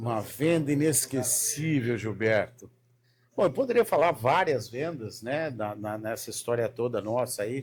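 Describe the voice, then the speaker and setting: A man's ordinary speaking voice at medium pitch, fairly slow in pace, with ordinary pitch variation. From Paraná, southern Brazil (Londrina). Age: 50s. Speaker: sales mentor. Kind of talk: casual chat.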